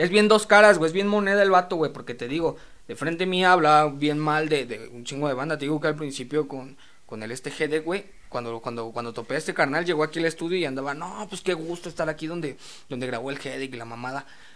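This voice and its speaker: A very fast man's voice, fairly high in pitch with ordinary variation, on a very clean recording with a silent background. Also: big swings in loudness. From Mexico, Naucalpan (State of Mexico). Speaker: rapper. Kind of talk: casual chat.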